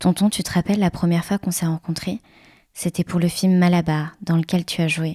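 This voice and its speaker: A woman's fairly low, dark, mellow, somewhat breathy voice in a monotone, flat delivery at a moderate pace, on a very clean recording with a silent background. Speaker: interviewer. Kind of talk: interview question.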